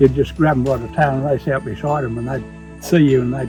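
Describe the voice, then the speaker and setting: Over music in the background, a man speaks at a fairly quick pace and medium pitch, with ordinary pitch variation. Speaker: former stockman. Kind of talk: interview answer.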